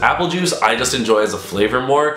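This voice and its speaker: With noticeable background noise and audible room echo, a man speaks with very wide pitch swings. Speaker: gaming YouTuber. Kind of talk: casual vlog Q&A. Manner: fast.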